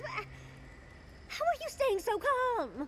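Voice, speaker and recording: A woman puts on a squeaky character voice at an extremely high pitch, her tone enthusiastic. Background noise is clearly audible. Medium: video game. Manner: enthusiastic, gushing.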